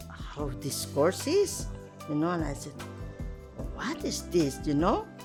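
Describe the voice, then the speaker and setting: A woman's voice with music in the background. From Philippines. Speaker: nurse, his mother. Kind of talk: documentary interview answer.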